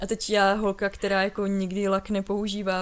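The woman here speaks at a moderate pace in a medium pitch. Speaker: podcast co-host. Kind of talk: casual chat. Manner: stutter.

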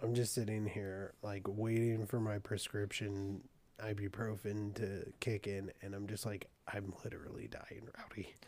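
Fairly low in pitch, a man speaks at a fairly slow pace with monotone, flat intonation. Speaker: podcast co-host. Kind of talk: casual chat.

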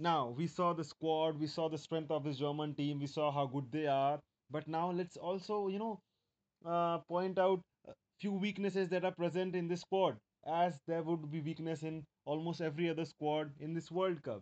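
Fairly high-pitched male voice with an Indian accent, moderate pace and fairly even intonation, over a quiet background. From India, Mumbai. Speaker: football podcast host. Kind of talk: solo podcast monologue.

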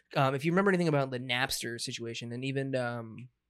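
His pitch sits at a medium level and shifts in an ordinary way as he talks. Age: 20s. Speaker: podcast host. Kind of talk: casual chat.

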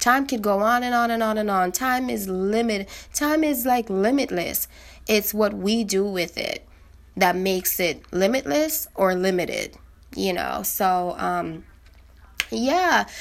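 Speaking slowly-ish at a fairly slow pace, a woman uses a plain, everyday voice at a medium pitch. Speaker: podcaster. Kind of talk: casual solo monologue. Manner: informal, conversational, reflective; upbeat, encouraging.

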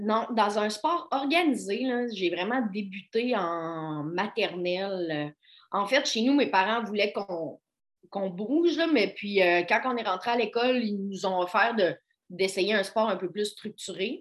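A woman at a medium pitch, very slow in pace, with lively intonation. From Quebec, Côte-Nord (Baie-Comeau). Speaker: physiotherapist. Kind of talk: casual interview.

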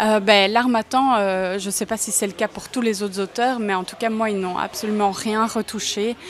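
A woman's fairly high, monotone voice with flat intonation, a fairly slow pace and hardly any pauses. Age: 20s. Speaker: psychologist and first-time novelist. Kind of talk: interview. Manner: hesitant, many fillers and repetitions.

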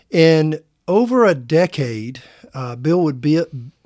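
Very slowly, a man speaks at a fairly high pitch with a slight Southern US accent. The recording is very clean over a silent background. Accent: Southern US, slight twang. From US South Carolina. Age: 50s. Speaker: pastor. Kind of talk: casual interview.

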